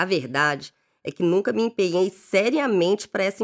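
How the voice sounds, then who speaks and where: A woman's ordinary speaking voice at medium pitch and moderate pace, dry and close with no echo, on a very clean recording with a silent background. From Belo Horizonte, Minas Gerais, Brazil. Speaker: life coach. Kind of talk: scripted narration.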